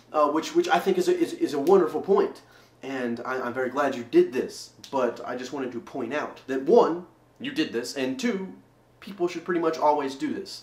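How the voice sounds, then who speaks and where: Fairly high pitch and lively intonation from a man, with noticeable background noise. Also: moderate pace. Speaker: vlogger. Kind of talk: video response vlog. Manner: louder than normal, dynamic; halting, many repetitions.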